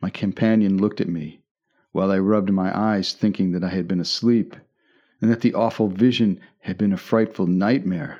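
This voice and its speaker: In a dark, mellow and dramatic tone, a man with a fairly low pitch speaks at a moderate pace with fairly even intonation over a quiet background. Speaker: audiobook narrator. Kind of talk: scripted narration of a horror sea story. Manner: dramatic, suspenseful storytelling.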